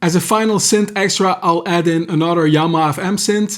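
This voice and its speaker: This man's voice sits high in pitch, with ordinary variation. He keeps a moderate pace. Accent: Belgian. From Belgium. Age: 40s. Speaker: music producer, YouTuber. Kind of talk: tutorial.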